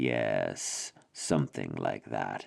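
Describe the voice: A man's raspy, rumbling put-on character voice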